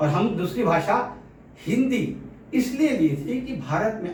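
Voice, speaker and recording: Animated and full of very wide pitch swings, a man's voice comes through with audible room echo. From Pune, Maharashtra, India. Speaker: political commentator and author. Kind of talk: opinion monologue. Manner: forceful, blunt; animated, mixing Hindi and English.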